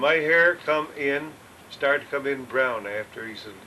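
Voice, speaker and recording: A medium-pitched man with an American accent, against noticeable background noise. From upstate New York. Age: 80s+. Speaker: retired farmer. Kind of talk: oral history interview. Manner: halting.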